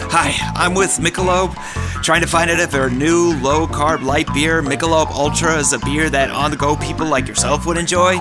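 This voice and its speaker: Clear music plays in the background while the speaker keeps a moderate pace. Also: man. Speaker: voice actor. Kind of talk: commercial read. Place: booth. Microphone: studio mic.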